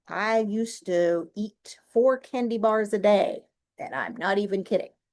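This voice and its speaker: A woman with an American accent, a normal speaking voice, fairly high pitch, ordinary pitch variation and a fairly slow pace. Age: 60s. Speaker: podcast host. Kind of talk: solo podcast monologue. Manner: casual, conversational.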